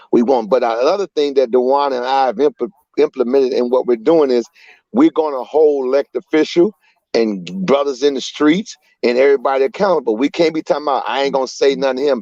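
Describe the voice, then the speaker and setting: Over music in the background, a man with an American accent talks at a very fast pace in a fairly high pitch with ordinary pitch variation and a dry, close sound with no echo. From Chicago. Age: 60s. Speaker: community activist. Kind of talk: panel discussion. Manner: animated.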